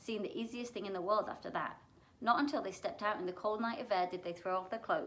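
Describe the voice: The voice is plain reading aloud.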